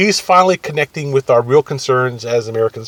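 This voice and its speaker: In a dry, close sound with no echo, a man talks at a fairly quick pace with lively intonation. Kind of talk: casual political commentary to camera. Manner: hesitant, rambling.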